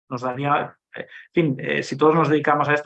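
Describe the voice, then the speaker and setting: This voice belongs to a man. His pitch is fairly high. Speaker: government agency director. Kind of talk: conference Q&A answer. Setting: conference panel with audience. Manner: halting, many repetitions and fillers.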